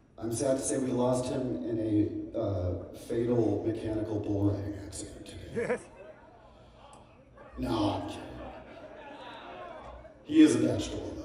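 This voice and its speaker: A man at a fairly slow pace with long, frequent pauses, amid light background noise and strong room echo. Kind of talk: stage banter. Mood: joking, playful. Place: stage.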